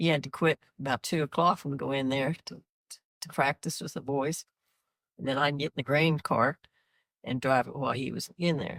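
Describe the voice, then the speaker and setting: Speaking at a moderate pace in an American accent, a woman with a very deep, low voice keeps her intonation fairly even while her loudness swings widely, recorded dry and close with no echo. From rural Kansas, USA. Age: 80s+. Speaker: retired farm worker. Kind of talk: interview answer.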